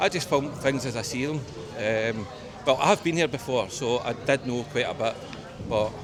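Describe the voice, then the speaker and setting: A man's medium-pitched voice in a strong West of Scotland accent, at a moderate pace with ordinary pitch variation, over noticeable background noise. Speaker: travel vlogger. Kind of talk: casual walking vlog talk to camera. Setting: outdoors.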